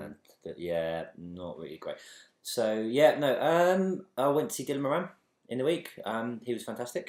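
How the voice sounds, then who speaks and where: Here a man speaks at a moderate pace and medium pitch. His pitch swings very widely, and his loudness shifts a lot. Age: 30s. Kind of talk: casual podcast chat.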